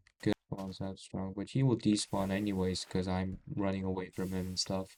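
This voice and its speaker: A man speaks at a moderate pace with a very deep, low pitch. His intonation is monotone and flat. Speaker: gaming YouTuber. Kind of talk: gameplay commentary. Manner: stuttering, halting.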